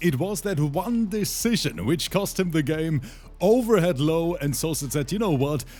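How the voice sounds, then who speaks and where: With a German accent, a man talks at a moderate pace in a high pitch and an animated tone. Music plays in the background. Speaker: esports commentator. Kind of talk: live commentary. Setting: livestream.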